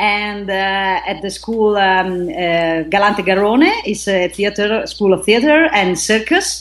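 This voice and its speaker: Speaking at a very slow pace with an Italian accent, a woman with a medium pitch uses ordinary pitch variation over noticeable background noise. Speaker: actress and aerial artist. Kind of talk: interview. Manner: halting.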